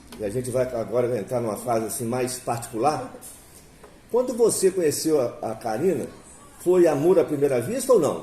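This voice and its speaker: Noticeable background noise and audible room echo surround a man at a medium pitch. He talks at a moderate pace with lively intonation. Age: 60s. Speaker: interviewer. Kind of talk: interview. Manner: halting, with many fillers.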